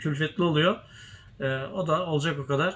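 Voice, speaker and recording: A man with an ordinary speaking voice talks at a moderate pace and fairly high pitch, his intonation fairly even, over light background noise. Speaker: tespih shop owner and video host. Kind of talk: casual chat. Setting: inside a shop. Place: workshop. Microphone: phone near.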